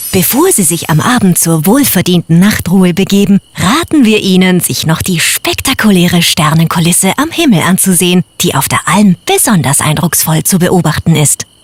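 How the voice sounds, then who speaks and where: Over noticeable background noise, a woman talks at a medium pitch and moderate pace with hardly any pauses, ordinary pitch variation and very even loudness, the sound dry and close with no echo. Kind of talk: formal standard German announcement. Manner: polite, formal.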